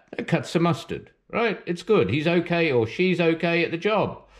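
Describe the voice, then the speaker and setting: Against a quiet background, a man speaks in a New Zealand accent with a high pitch. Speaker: artist teaching drawing. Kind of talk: art tutorial and commentary. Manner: casual, rambling with fillers.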